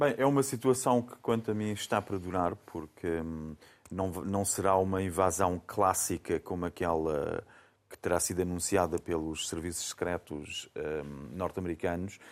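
A man's very deep, low voice at a moderate pace, with ordinary pitch variation, in a very clean recording with a silent background. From Faro, Algarve, Portugal. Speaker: panelist commentator. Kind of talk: panel discussion.

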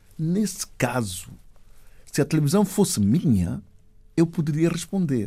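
Taking long, frequent pauses at a fairly slow pace, a man with a fairly high pitch and a dark, mellow tone keeps his loudness very even while his pitch swings very widely. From Equatorial Guinea, Spain and São Tomé. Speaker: actor and filmmaker. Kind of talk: interview.

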